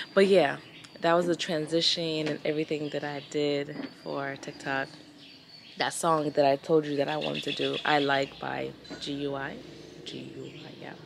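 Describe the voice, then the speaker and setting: Over noticeable background noise, a woman with a very deep, low pitch speaks at a moderate pace in a monotone, flat intonation with big swings in loudness. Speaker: travel vlogger. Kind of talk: casual vlog talk to camera.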